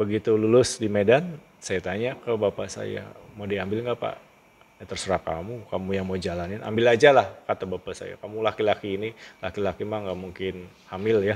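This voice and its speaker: A man talks at a fairly quick pace. His voice sits fairly low, with ordinary pitch variation. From Java, Indonesia (Cirebon area). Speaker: school principal. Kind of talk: interview, personal life story. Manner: casual, animated storytelling.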